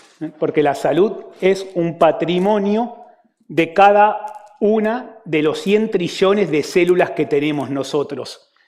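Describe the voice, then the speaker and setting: A high-pitched man speaks at a very slow pace with an Argentine accent. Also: ordinary pitch variation. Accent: Argentine, joked as Galician. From Argentina. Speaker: physician giving a talk. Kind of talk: conference talk. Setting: stage with audience.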